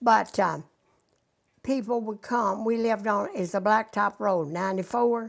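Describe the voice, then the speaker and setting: Speaking in a western Kentucky accent, a woman uses a fairly high pitch, ordinary pitch variation and a fairly slow pace. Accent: western Kentucky Southern US. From Kentucky, Lynn Grove area (western Kentucky). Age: 90s. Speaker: elderly interviewee recalling local history. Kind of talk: oral history interview.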